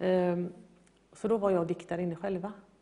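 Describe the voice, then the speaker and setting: A woman talks fairly quickly, with noticeable noise in the background. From Gothenburg, Sweden. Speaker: guest telling faith story. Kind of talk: interview testimony.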